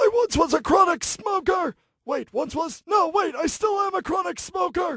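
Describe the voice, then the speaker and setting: At a moderate pace, a man does a put-on character voice at an extremely high pitch. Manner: self-deprecating, joking.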